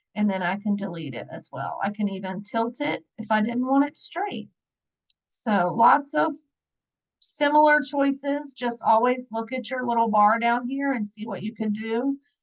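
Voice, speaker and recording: An unremarkable speaking voice, a woman with an American accent speaks at a moderate pace in a fairly high pitch against a quiet background. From Virginia, US South. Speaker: scrapbooking product advisor; online scrapbooking demonstrator. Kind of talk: tutorial. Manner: casual, conversational. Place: home room. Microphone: webcam.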